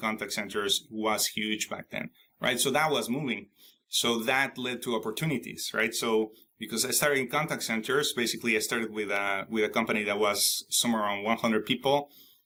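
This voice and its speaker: Fairly quick, fairly even speech from a man with a Spanish accent, medium pitch and a bright, sharp tone. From Mexico. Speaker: IT consultant and author. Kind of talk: interview. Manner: halting, many fillers and restarts.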